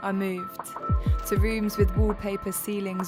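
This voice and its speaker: A woman talks fairly slowly with music playing behind her. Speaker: spoken word poet. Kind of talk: spoken word theatre performance.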